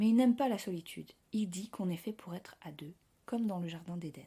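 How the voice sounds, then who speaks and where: This woman's voice is somewhat breathy, with a dark, mellow tone and a moderate pace. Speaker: podcast host. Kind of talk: podcast narration.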